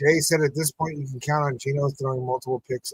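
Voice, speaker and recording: Recorded with a dry, close sound and no echo, a man speaks in a somewhat breathy voice. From New Mexico. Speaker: sports podcast host. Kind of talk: live watch-party commentary. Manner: casual, animated.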